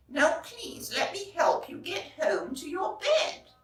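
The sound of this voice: With strong room echo around it, a put-on character voice moves slowly through big pitch swings. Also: woman, extremely high pitch for a woman.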